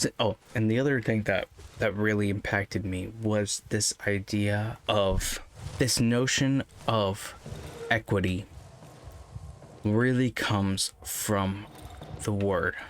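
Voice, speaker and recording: A man speaks at a very slow pace with long, frequent pauses. His pitch is fairly low, his intonation fairly even and his loudness very even. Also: dry, close sound with no echo. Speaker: gaming channel host. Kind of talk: let's play commentary with faith reflection. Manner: slow, thinking aloud.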